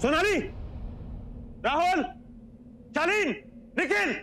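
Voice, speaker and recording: A man shouts loudly in a put-on character voice at an extremely high pitch. Clear background noise sits behind him. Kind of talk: scripted drama dialogue, calling out names. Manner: shouting names loudly.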